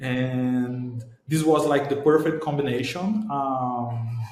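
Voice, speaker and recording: A man with a Portuguese accent speaks at a very slow pace, with audible room echo around him. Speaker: startup founder. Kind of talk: interview. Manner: halting.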